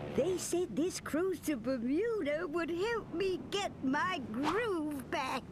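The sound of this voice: An extremely high-pitched cartoonish character voice talks at a very slow pace over loud background noise.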